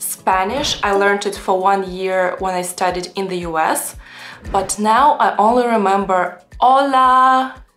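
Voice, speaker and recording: Faint music plays in the background as a woman speaks at a fairly slow pace with ordinary pitch variation. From Russia. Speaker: language vlogger. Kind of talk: casual talk to camera. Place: home room.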